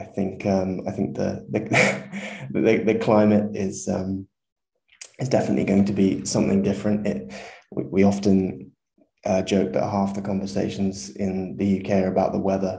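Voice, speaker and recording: A man with a southern English accent talks at a moderate pace. His pitch is fairly low, and his tone is dark and mellow. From southern England. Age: 20s. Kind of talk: casual interview. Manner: fluent, hesitant with repeats.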